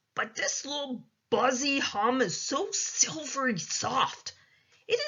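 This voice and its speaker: Putting on a character voice, a woman growls at a high pitch. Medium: read story. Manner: ungrammatical, quirky folksy speech.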